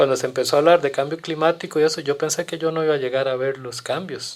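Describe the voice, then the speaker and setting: Captured in a very clean recording with a silent background, a man talks very fast with fairly even intonation and a fairly high pitch. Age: 60s. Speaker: community guest on environmental issues. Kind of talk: podcast interview. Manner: halting with frequent repetitions.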